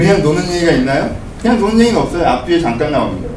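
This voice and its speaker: Amid noticeable background noise and audible room echo, a man speaks in an animated tone at a very fast pace. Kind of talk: sermon.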